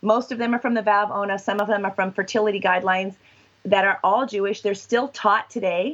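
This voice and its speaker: Talking at a very fast pace, a woman speaks with a West Coast accent. Her pitch is medium and her intonation fairly even. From Washington and Southern California, US. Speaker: sexologist and professor. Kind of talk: interview.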